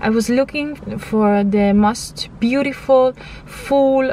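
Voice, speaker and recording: Over noticeable background noise, a woman with an Italian accent speaks at a very slow pace with fairly even intonation. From Italy. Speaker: vlogger. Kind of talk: testimony. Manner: halting.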